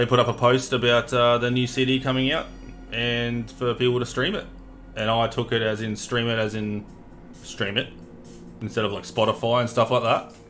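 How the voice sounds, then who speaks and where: A man with an Australian accent speaks at a moderate pace in a medium pitch, his intonation monotone and flat. Music plays in the background. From Australia, Townsville, Queensland. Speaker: gaming streamer. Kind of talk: casual chat. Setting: live stream.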